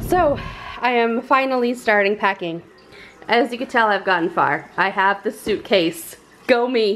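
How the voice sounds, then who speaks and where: With a plain, everyday voice, a woman speaks at a fairly slow pace, fairly high in pitch with lively intonation, over light background noise. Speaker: family vlogger. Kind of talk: casual vlog chat. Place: home room. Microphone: phone near.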